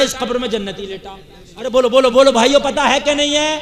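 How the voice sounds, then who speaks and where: A man speaks at an extremely high pitch. Background noise is noticeable. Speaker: Islamic scholar preacher. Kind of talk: sermon delivered to a live crowd. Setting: public gathering with microphone. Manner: humorous, rhetorical, call-and-response with audience.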